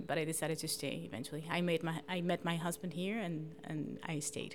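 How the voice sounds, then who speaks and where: Fairly quick speech from a woman, noticeable noise in the background. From Colombia. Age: 40s. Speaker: voter. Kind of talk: interview.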